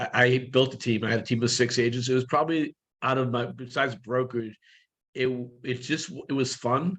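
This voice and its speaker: An ordinary speaking voice from a man at a medium pitch. He talks at a fairly quick pace with fairly even intonation. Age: 60s. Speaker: real estate brokerage leader, guest coach. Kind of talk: coaching session Q&A on video call. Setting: video call.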